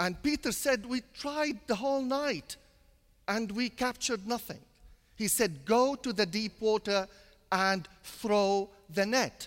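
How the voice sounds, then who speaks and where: A man at a very slow pace, high in pitch with ordinary pitch variation, on a very clean recording with a silent background. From Syria (Damascus). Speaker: priest. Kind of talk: sermon.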